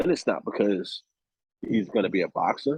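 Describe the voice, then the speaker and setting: A man speaks with vocal fry. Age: 30s. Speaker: actor. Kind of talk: casual chat. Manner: animated.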